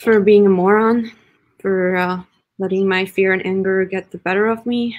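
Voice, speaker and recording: Over a quiet background, a woman with a medium-pitched voice speaks at a moderate pace in a flat monotone. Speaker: actor, workshop participant; actor. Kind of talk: dramatic scene reading. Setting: video call. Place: home room. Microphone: video call.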